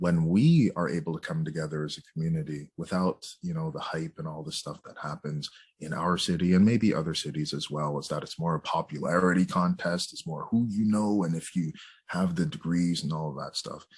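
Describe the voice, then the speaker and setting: A man with a Canadian accent talks at a fairly quick pace in a very deep, low voice. His pitch varies in an ordinary way, while his loudness swings widely. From Canada, Jamaican heritage. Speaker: psychotherapist and author. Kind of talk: interview conversation. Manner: casual, hesitant with fillers.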